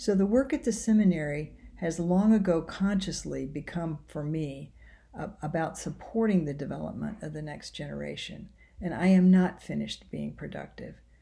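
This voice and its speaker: A woman speaks at a moderate pace with a fairly low pitch and ordinary pitch variation. Her tone is dark and mellow, and somewhat breathy. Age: 60s. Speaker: seminary professor. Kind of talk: recorded self-introduction to a course. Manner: reflective.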